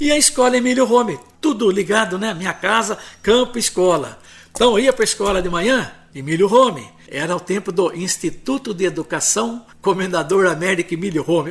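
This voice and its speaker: On a very clean recording with a silent background, a man speaks at a moderate pace in a high pitch with lively intonation. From Santa Bárbara d'Oeste, São Paulo state, Brazil. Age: 70s. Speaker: retired journalist and historian. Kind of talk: interview, personal memories.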